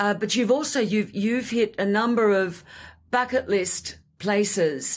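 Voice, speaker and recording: Speaking at a moderate pace, a woman uses medium pitch and an Australian accent. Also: very clean recording, silent background. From Australia (Sydney). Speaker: podcast host. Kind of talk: casual interview chat.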